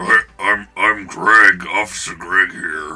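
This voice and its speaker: A man's put-on character voice, fairly low in pitch, with faint background music. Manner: strong, authoritative.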